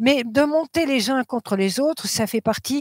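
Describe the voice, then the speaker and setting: A woman's high-pitched voice with lively intonation at a fairly slow pace, dry and close with no echo, in a very clean recording with a silent background. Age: 80s+. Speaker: medium and author. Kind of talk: interview testimony. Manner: hesitant, many fillers.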